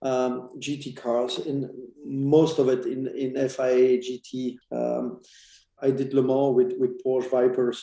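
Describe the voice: The tone is dark and mellow, with vocal fry. Delivery is fairly slow, with little pitch movement. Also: man, medium pitch for a man.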